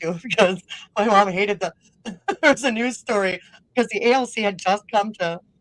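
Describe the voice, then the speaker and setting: A woman with a northern Minnesota accent speaks with long, frequent pauses. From northern Minnesota, Roseau. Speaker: podcast host and music personality. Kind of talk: casual interview.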